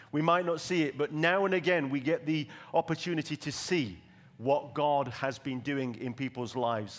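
A man speaks at a moderate pace in a normal speaking voice, his pitch fairly high and its variation ordinary. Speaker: church pastor. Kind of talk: sermon. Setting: church.

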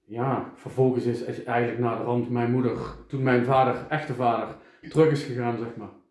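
A man speaks at a medium pitch in a flat, monotone delivery, with audible echo from the room. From Eindhoven, Netherlands. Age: 40s. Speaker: podcaster. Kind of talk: casual interview chat.

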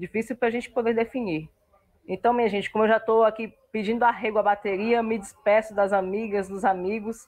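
Fairly high-pitched woman with fairly even intonation and an unremarkable speaking voice. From Brasília, Brazil. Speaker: university student and football fan. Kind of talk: casual chat.

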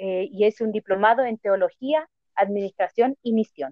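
This woman's voice sits fairly high in pitch, a normal speaking voice. She talks at a moderate pace. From Chile, Santiago. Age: 30s. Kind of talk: casual interview.

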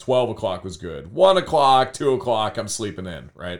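Using a normal speaking voice, a man with an American accent talks at a fairly quick pace with lively intonation, on a very clean recording with a silent background. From US Midwest, Cleveland west side (Berea). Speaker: high school art teacher. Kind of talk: casual interview.

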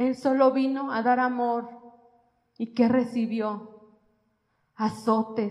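Speaking very slowly with long, frequent pauses, a woman uses a high pitch in a monotone, flat intonation. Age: 40s. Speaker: lay preacher. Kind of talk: sermon.

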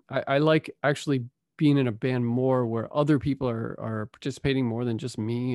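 With a plain, everyday voice, a man of medium pitch talks at a fairly quick pace and with fairly even intonation. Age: 50s. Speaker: author and musician. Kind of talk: casual chat.

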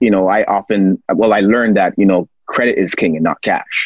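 Using an ordinary speaking voice, a man with a fairly low pitch talks at a moderate pace and with fairly even intonation, in a dry, close sound with no echo. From Toronto, Canada. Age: 30s. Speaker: financial literacy educator and author. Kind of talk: casual interview.

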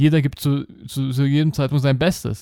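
At a moderate pace, a man with a fairly high voice speaks in an animated tone, in a very clean, dry, close recording with no echo over a silent background. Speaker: podcast host and life coach. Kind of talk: monologue podcast.

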